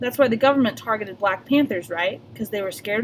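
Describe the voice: The clip is plain reading aloud. Pitch variation is ordinary.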